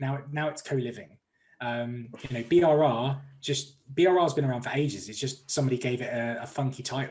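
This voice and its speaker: A somewhat breathy man in an English accent, medium-pitched, fairly quick, with fairly even intonation. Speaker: mortgage broker. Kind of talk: interview. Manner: fast.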